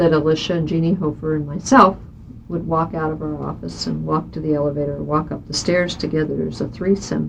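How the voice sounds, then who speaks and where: A woman with a Midwestern US accent speaks at a fairly quick pace over noticeable background noise. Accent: US Midwest. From Kansas, Johnson County (Kansas City area). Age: 50s. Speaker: state senator. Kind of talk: oral history interview.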